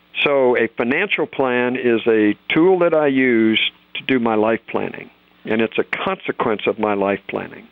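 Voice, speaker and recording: Speaking at a moderate pace, a man uses a normal speaking voice with medium pitch and lively intonation. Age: 60s. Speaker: financial author and planner. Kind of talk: interview conversation.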